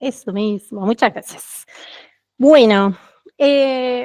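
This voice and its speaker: Captured with a dry, close sound and no echo, a woman speaks at a fairly high pitch with lively intonation. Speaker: QA team lead, conference speaker. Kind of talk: tech meetup talk. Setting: stage with live audience. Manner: fast.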